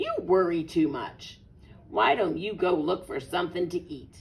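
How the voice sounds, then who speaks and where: A put-on character voice at a middle pitch, delivered at a moderate pace. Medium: read story.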